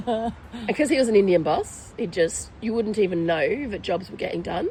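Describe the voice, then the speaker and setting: A woman's lively intonation in an Australian accent. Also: moderate pace. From Australia, Victoria hills (UK-born, moved as a child). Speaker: restaurant owner. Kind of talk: interview conversation. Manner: hesitant, many fillers.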